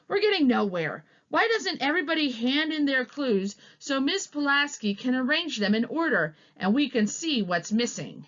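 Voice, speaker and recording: Using a put-on character voice, a woman speaks high in pitch with very wide swings, at a moderate pace. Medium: read story.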